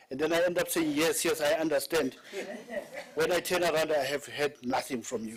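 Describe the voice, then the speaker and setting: This man speaks at a fairly quick pace. His pitch sits fairly high. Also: ordinary pitch variation. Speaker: panel facilitator. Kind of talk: panel moderation at a symposium. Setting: conference stage with audience. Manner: loud.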